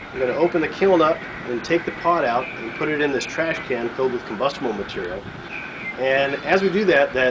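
Noticeable background noise sits under a man talking at a fairly quick pace with ordinary pitch variation. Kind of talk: tutorial. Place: workshop. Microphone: camera far.

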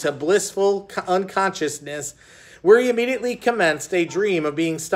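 Lively intonation in a natural voice, reading aloud.

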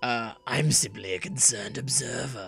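A raspy put-on character voice at a low-to-middle pitch and moderate pace, with clear music in the background.

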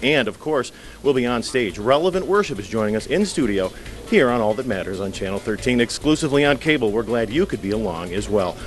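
A man speaks at a fairly quick pace while faint music sits in the background. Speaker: TV show host. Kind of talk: broadcast show intro. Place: hall. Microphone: handheld.

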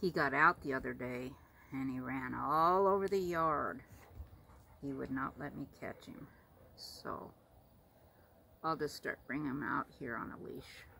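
A woman speaks fairly slowly in a very deep, low pitch with vocal fry. Her long, frequent pauses sit over light background noise. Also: ordinary pitch variation, big swings in loudness. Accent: American. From Florida, USA. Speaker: pet owner. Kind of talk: casual talk to camera. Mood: affectionate, relaxed. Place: home room. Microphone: phone near.

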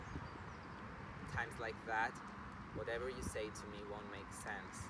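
Amid loud background noise, a man speaks at a fairly slow pace, the sound dry with no echo. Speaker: yoga teacher. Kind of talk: slam poetry reading. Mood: earnest, emotional, vulnerable. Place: waterside.

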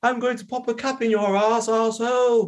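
Putting on a character voice, a man talks at an extremely high pitch with a monotone, flat intonation. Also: moderate pace. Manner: clumsy, unconvincing.

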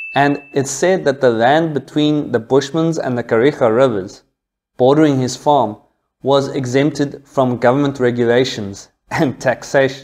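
Here a man talks at a moderate pace with fairly even intonation. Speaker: history channel host. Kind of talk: history storytelling narration. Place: home room. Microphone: lapel.

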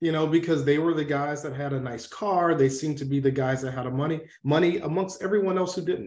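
Audible room echo surrounds a man speaking at a very fast pace with hardly any pauses. His pitch is fairly high, with ordinary variation. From US South, Atlanta, Georgia. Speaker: former military medical officer, public health professional; interview guest. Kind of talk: interview. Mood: serious, reflective. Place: home room. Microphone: video call.

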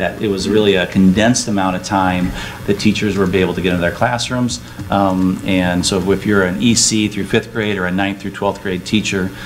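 A man with a fairly low pitch, fairly even intonation and a fairly quick pace, over light background noise. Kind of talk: meeting report. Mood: appreciative, warm. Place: hall. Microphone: camera far.

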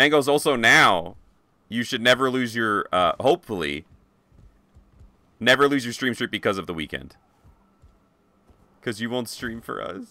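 A bright, sharp tone with vocal fry moves at a moderate pace, broken by long, frequent pauses. The sound is dry with no echo. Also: man, lively intonation. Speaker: video game streamer. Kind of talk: live gaming stream chat. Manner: animated. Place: home room. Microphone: headset.

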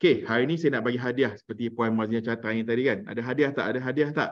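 Over a quiet background, a man is speaking. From Malaysia, Melaka; Malaysia. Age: 40s. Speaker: parenting trainer and former radio DJ; parenting course trainer. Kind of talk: online workshop talk; online lecture. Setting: video call. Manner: animated. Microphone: video call.

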